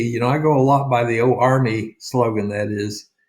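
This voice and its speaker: A man speaks with an Oklahoma accent and a somewhat breathy voice. His pitch varies in an ordinary way. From rural Oklahoma. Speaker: real estate sales coach. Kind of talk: sales pitch.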